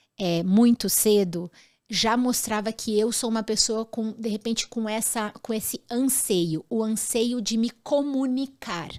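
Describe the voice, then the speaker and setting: Fairly high in pitch, a woman speaks in an unremarkable speaking voice at a fairly slow pace with ordinary pitch variation, in a very clean recording with a silent background. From grew up abroad in six countries. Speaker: former actress and image consultant. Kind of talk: interview.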